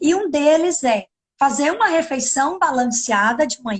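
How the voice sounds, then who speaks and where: A woman talks at a very slow pace in a high pitch. Her voice makes very wide pitch swings. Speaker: nutritionist. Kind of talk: live video chat. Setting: online live stream.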